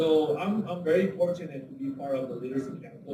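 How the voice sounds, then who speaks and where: A medium-pitched man at a fairly quick pace, with a Spanish accent and audible room echo. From Mexico. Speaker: horticulturist and literacy tutor. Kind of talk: public testimony.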